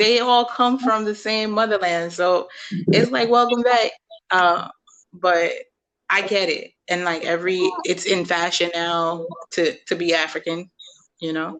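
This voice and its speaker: A woman at a very slow pace, with long, frequent pauses and ordinary pitch variation. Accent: New York. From Brooklyn, New York. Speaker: podcast host. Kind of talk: casual chat.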